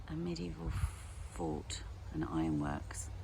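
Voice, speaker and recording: A woman talks at a moderate pace with vocal fry and ordinary pitch variation. Audible room echo surrounds her voice. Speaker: nursery forest school leader. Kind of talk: guided tour and parent briefing. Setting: outdoors.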